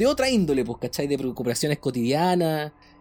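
Over music in the background, a man talks with a Chilean accent. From Chile, Valdivia. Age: 30s. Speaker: podcast co-host, psychologist. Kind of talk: casual chat.

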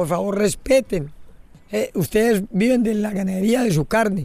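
A man with a high pitch talks at a moderate pace, varying his pitch in an ordinary way. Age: old. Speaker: fisherman and environmental leader. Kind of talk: interview testimony.

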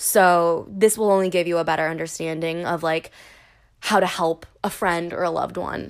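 A woman with a fairly low pitch speaks in a nervous tone. Her pace is moderate and her intonation fairly even. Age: 30s. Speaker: podcast host. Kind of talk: casual solo chat. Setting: home recording, alone with cat. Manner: nervous, rambling, filler-heavy casual delivery.

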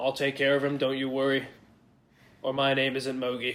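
A man's put-on character voice, medium in pitch, at a moderate pace with monotone, flat intonation. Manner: reassuring, theatrical.

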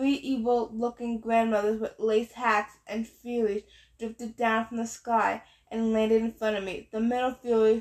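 The clip has an unforced reading voice.

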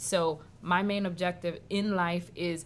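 In a New York accent, a woman talks at a medium pitch. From New York City (Washington Heights), Haitian-born. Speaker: restaurant co-owner. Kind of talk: interview.

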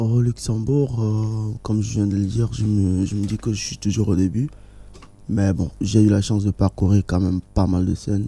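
A man speaks at a moderate pace in a fairly low pitch with ordinary pitch variation. His tone is dark and mellow, and somewhat breathy. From Togo. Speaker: jazz musician and singer. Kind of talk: radio interview. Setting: studio. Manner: halting.

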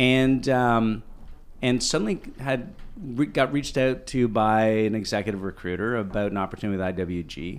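Recorded very cleanly against a silent background, a man speaks with a Canadian accent and ordinary pitch variation. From Canada, Ottawa. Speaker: co-working company executive. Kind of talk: interview. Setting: on location in a co-working office. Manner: animated.

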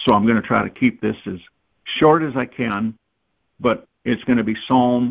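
A man speaks with fairly even intonation. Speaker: guest preacher. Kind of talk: worship prayer and preaching. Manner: fervent, worshipful.

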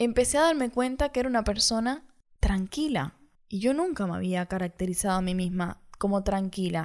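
In a very clean recording with a silent background, a woman with an unremarkable speaking voice talks at a moderate pace, her medium pitch carrying lively intonation. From Cuba. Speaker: podcaster. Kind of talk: personal monologue.

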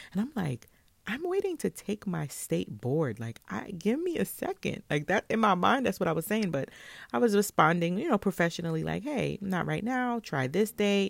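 In a New York accent, a woman with an animated tone and vocal fry speaks at a moderate pace and medium pitch with very wide pitch swings, recorded very cleanly against a silent background in a dry, close sound with no echo. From Brooklyn, New York. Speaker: podcast host and salon owner. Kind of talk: casual solo monologue.

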